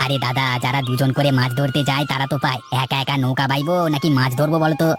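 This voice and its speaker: A cartoonish character voice speaks in a low-to-middle pitch at a fairly quick pace. Clear music plays in the background. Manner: hesitant starts, folksy.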